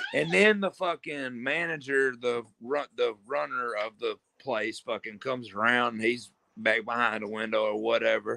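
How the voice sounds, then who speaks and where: Loud and bright with a sharp tone, a man's voice comes through dry and close, without echo. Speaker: streamer. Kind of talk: casual chat. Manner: animated.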